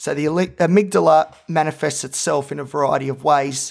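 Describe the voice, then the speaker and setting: A man's fairly high-pitched voice at a moderate pace, in a very clean recording over a silent background. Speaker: podcaster and psychology student. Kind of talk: solo podcast monologue about personal mental health. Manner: loud and animated when well, conversational; soft-spoken and subdued when depressed or stressed.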